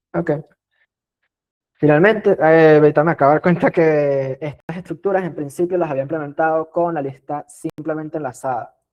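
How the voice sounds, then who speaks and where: At a moderate pace, a man with a plain, everyday voice speaks at a fairly high pitch with fairly even intonation. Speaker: teaching assistant / tutor. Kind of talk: exam review lecture.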